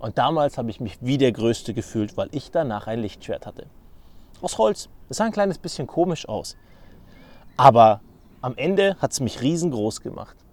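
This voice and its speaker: A man talks at a moderate pace and medium pitch, with very wide pitch swings and big swings in loudness. He leaves long, frequent pauses. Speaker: podcaster. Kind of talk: solo podcast monologue.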